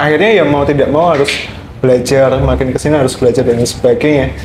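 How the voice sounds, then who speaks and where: Noticeable background noise sits behind a man's voice. He talks at a very fast pace and a fairly high pitch, with ordinary pitch variation. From Indonesia, outside Java. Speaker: student guest speaker. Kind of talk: podcast discussion.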